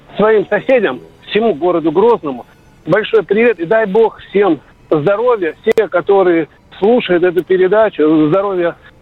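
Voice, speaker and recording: A high-pitched man at a fairly slow pace, with music in the background. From Grozny, Chechnya. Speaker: caller. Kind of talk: phone-in greeting.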